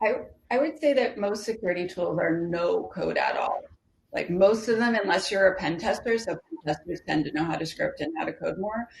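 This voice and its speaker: The woman uses a plain, everyday voice at medium pitch. Her intonation is lively. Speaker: security specialist panelist. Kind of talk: panel discussion.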